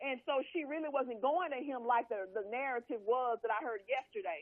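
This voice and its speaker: In an American accent, a woman talks at a moderate pace with a high pitch and lively intonation. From US South, Louisiana. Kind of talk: casual chat.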